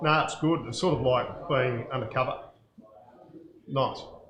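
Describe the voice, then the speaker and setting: A man with a strong Australian accent speaks amid audible room echo. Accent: broad Australian. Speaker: winemaker. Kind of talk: casual chat.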